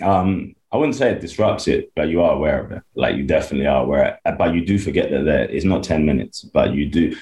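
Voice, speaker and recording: This man's delivery is very fast. There are hardly any pauses in his speech. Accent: London. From London, England. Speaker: American football coach. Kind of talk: interview. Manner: halting, filler-heavy.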